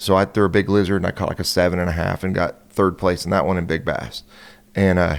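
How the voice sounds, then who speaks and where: With a very deep, low pitch, a man talks at a very fast pace using fairly even intonation. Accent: West Coast American. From California. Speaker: professional bass angler. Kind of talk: casual podcast interview.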